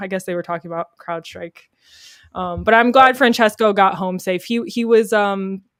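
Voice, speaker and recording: Her medium-pitched voice moves at a moderate pace, and this woman keeps her intonation fairly even. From US, Florida. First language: Polish. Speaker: live streamer. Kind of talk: casual live-stream chat. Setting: live stream.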